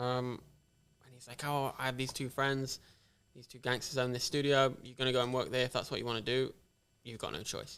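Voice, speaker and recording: A man with an English accent speaks at a fairly quick pace and medium pitch, his flat, monotone delivery broken by long, frequent pauses and big swings in loudness. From England, Nottingham. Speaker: tattoo shop owner. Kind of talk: casual chat.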